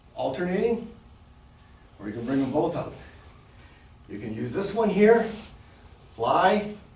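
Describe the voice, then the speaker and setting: A man speaks in a high pitch with very wide pitch swings, big swings in loudness and long, frequent pauses. Noticeable background noise and audible room echo are present. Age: 60s. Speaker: fitness and martial arts instructor. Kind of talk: exercise demonstration tutorial. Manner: casual, halting with fillers.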